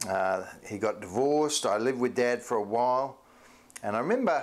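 A man talks at a moderate pace and medium pitch. His intonation is lively.

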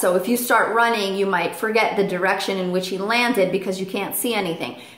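Speaking with ordinary pitch variation, a woman is heard with audible room echo. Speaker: parrot owner vlogger. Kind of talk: tutorial. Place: home room. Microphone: camera far.

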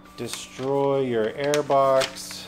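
Music plays in the background as a man speaks. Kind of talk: casual vlog chat. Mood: joking, relaxed. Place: street. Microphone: camera far.

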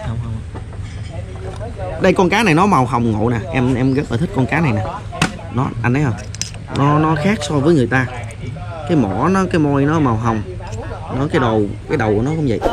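A man at a moderate pace with long, frequent pauses over noticeable background noise. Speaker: vlogger visiting a fish farmer. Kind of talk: casual vlog chat. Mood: cheerful, amused. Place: waterside. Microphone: phone near.

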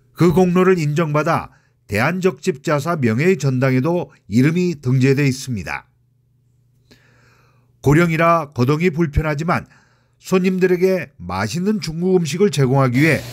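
Over a very clean recording with a silent background, a man speaks at a moderate pace with a fairly high pitch and ordinary pitch variation. His loudness stays very even, broken by long, frequent pauses. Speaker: former journalist. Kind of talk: news report narration.

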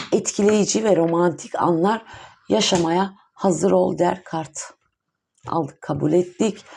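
Very slowly, a woman speaks in a fairly low, dark, mellow voice with ordinary pitch variation. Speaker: tarot reader. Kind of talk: tarot reading monologue. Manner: hesitant, many fillers.

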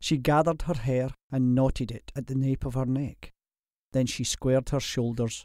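Quiet background, fairly even intonation, plain reading aloud.

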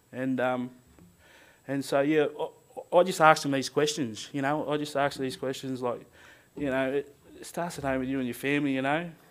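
Someone with an Australian accent speaks at a fairly quick pace with fairly even intonation and long, frequent pauses. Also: man, fairly high pitch for a man. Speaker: power line worker. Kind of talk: speech. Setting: stage with audience. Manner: halting. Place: hall. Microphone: podium.

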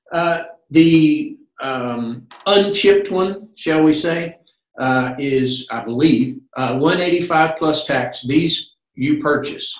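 A man speaks very slowly at a fairly high pitch, with ordinary pitch variation. Audible room echo surrounds his voice against a quiet background. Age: 60s. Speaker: medical alert company representative; presenter. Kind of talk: interview. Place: home room. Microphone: webcam.

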